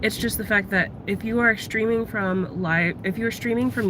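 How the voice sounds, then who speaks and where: Noticeable background noise surrounds the voice. A soft-spoken woman talks with ordinary pitch variation. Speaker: livestreamer. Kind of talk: casual chat. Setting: in a car. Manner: voice trails off at sentence ends.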